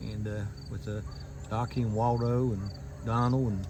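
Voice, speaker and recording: Somewhat breathy and with ordinary pitch variation, the voice carries audible room echo. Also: man. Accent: Appalachian. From southern West Virginia, McDowell County. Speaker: YouTuber giving a driving tour. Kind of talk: casual tour narration. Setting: in a car.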